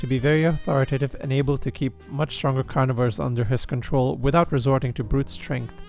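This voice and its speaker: A man's medium-pitched voice at a fairly quick pace with fairly even intonation, music in the background. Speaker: video essayist. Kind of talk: character analysis narration. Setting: home recording, cheap microphone.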